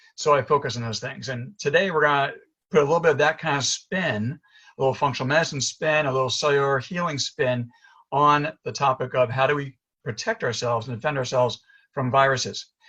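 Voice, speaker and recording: Bright and sharp, a man's fairly high voice carries a New York accent. He talks at a fairly quick pace with ordinary pitch variation, the background quiet. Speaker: chiropractor and functional medicine doctor. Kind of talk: presentation. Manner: fast; animated.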